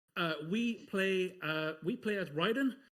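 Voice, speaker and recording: A man speaks with an Irish accent. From Ireland. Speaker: speedrunner. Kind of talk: live gameplay commentary. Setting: live-streamed marathon event.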